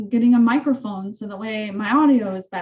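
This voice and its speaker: Against a quiet background, a woman with a fairly high pitch sounds somewhat breathy, speaking at a moderate pace with ordinary pitch variation. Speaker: real estate coach. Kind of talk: training session over video call. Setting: zoom call. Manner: casual, filler-heavy. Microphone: video call.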